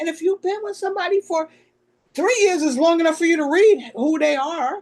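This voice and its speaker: Loud and fairly quick, a woman speaks at an extremely high pitch with lively intonation. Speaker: podcast co-host. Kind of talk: casual chat. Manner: loud, expressive.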